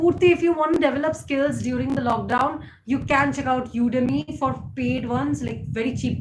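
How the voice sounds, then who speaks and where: A woman speaks with an Indian accent and hardly any pauses. Audible room echo and noticeable background noise accompany her. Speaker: YouTuber. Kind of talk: live stream chat. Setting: live stream.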